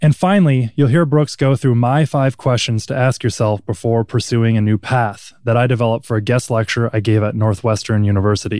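In a very clean recording with a silent background, a man with an American accent uses an ordinary speaking voice at medium pitch, his loudness very even. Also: ordinary pitch variation, fairly quick pace. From US Midwest, Minnesota. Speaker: podcast host, ex basketball player. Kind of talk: scripted narration; interview.

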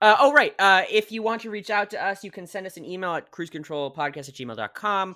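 A man speaks in a raised, projected, high voice with lively intonation, very fast and with hardly any pauses. The recording is very clean with a silent background. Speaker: podcast host. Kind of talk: casual comedic chat. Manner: halting, filler-heavy.

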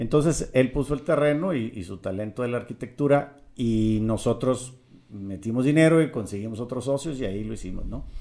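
A man's dark, mellow voice shows ordinary pitch variation and big swings in loudness. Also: medium pitch for a man, moderate pace. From Mexico, Monterrey. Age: 50s. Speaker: real estate developer. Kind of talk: interview.

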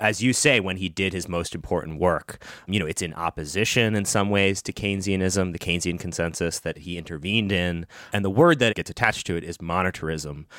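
A man's very deep, low voice at a fairly quick pace with ordinary pitch variation, very cleanly recorded against a silent background. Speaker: podcast co-host. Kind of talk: casual interview.

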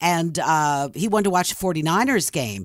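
A woman with a Philadelphia accent speaks in an animated tone at a fairly low pitch, on a very clean recording with a silent background. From Philadelphia area, Levittown, Pennsylvania. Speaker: former radio DJ and author. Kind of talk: casual interview, storytelling.

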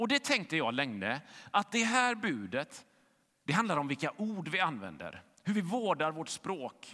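This man's voice sits high, bright and sharp, with very wide pitch swings. He talks at a fairly slow pace on a very clean recording with a silent background. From western Sweden, Gothenburg. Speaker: pastor. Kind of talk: sermon.

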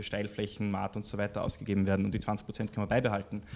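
This man's voice sits at a fairly low pitch. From Austria, Styria (Graz). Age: 30s. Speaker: political candidate. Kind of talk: interview. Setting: studio. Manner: hesitant, many fillers.

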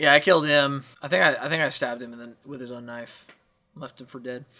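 A man's bright, sharp tone. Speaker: tabletop RPG podcaster and player. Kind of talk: casual chat. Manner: playful, does funny voices.

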